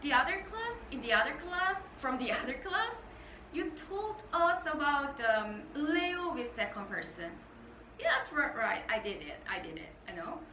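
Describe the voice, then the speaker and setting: With a Korean accent, a woman projects a raised, high-pitched voice with very wide pitch swings, and audible room echo surrounds her. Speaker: Korean language teacher. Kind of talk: tutorial. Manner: halting, many fillers.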